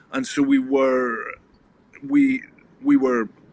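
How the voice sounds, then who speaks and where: Each word comes very slowly. Noticeable noise sits in the background. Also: man. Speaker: rugby coach. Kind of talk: interview. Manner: halting.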